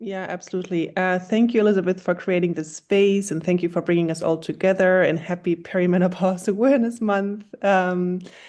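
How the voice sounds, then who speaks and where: A woman with a German accent, medium pitch and a dark, mellow tone, fairly quick with hardly any pauses and fairly even intonation, against a quiet background. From Germany. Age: 40s. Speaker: health startup founder. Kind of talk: panel discussion.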